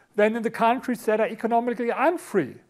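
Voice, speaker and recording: On a very clean recording with a silent background, a man speaks with a German accent. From Germany, Berlin. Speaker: author and speaker on economics. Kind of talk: conference talk. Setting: stage with audience.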